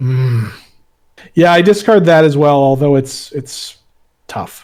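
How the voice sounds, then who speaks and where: A man with a New England accent at a very slow pace, with ordinary pitch variation. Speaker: board game player. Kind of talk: casual game play livestream. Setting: livestream with other players. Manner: halting.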